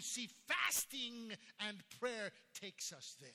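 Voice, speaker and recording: In an American accent, a man speaks very slowly with a raised, projected voice. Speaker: pastor. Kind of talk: sermon. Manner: fervent, emphatic preacher's cadence, repeating key phrases for emphasis; animated storytelling, with shocked, incredulous tone when recounting the news.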